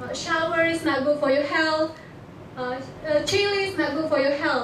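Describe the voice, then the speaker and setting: A woman with a high pitch at a moderate pace and fairly even intonation, with audible room echo and noticeable background noise. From Indonesia, Batak. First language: Batak. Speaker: international student. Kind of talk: presentation to an audience. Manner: halting, many fillers and restarts.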